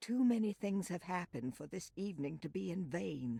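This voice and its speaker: At a middle pitch, the speaker puts on a character voice. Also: moderate pace. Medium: video game. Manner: solemn, conspiratorial.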